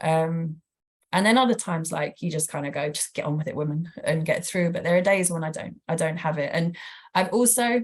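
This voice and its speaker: A woman talks at a fairly quick pace with a British accent. Her voice is somewhat breathy and fairly low, with ordinary pitch variation. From Britain. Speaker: professor, former palliative care nurse. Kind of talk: lecture Q&A answer.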